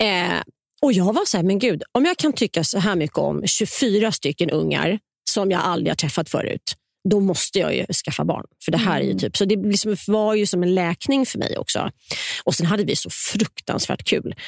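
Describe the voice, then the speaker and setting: A woman at a moderate pace, with a dry, close sound with no echo, on a very clean recording with a silent background. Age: 50s. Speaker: novelist, former teacher. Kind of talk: interview.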